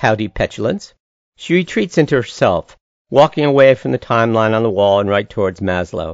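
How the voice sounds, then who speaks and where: A man at a medium pitch with very wide pitch swings. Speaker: narrator and storyteller. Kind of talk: scripted narration with dramatic monologue performance, voicing a character.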